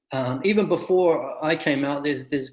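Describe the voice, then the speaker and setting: A man with a New Zealand accent speaks at a moderate pace. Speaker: soccer coach. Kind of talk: interview.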